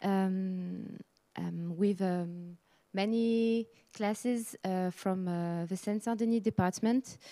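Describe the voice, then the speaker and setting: Here is a woman with a French accent and a dark, mellow tone. She speaks at a very slow pace, her intonation fairly even. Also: medium pitch for a woman. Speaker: heritage association project worker. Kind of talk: conference presentation. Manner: halting, many fillers.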